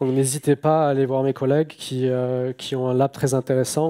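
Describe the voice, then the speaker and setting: Dark and mellow in tone, a man speaks at a moderate pace with a fairly high pitch and fairly even intonation. The recording is dry and close, with no echo. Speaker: software engineer, conference speaker. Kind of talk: conference talk. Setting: stage with audience. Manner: hesitant, many filler sounds.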